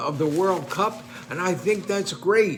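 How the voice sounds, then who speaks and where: The man's pitch is high, with ordinary variation. Audible room echo fills the recording. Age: 90s. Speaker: retired professor and online commentator. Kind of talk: casual monologue commenting on newspaper. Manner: halting.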